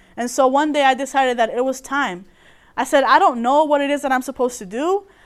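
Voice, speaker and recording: A high-pitched woman at a fairly quick pace, in a very clean recording with a silent background. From Colombia. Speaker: testimony speaker. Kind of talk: testimony. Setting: room with audience.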